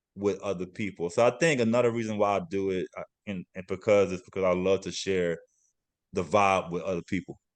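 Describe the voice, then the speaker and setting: Speaking at a fairly quick pace with a Louisiana accent, this voice keeps a fairly even intonation over a quiet background. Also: man. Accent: Southern US (Louisiana). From Louisiana (Lafayette). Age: 40s. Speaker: DJ and dancer. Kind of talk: interview.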